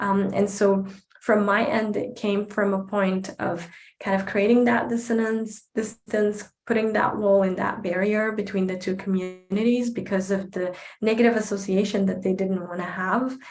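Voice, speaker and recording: A woman's medium-pitched voice in an Arabic accent, at a moderate pace with fairly even intonation. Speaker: advocate and speaker. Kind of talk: Q&A answer at online talk.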